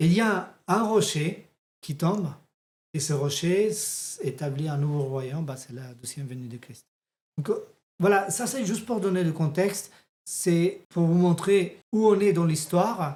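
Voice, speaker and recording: A high-pitched man with a slight non-native accent, a fairly slow pace, ordinary pitch variation, and big swings in loudness. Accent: slight foreign accent in French. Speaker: theology teacher. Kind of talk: bible teaching lesson. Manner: halting.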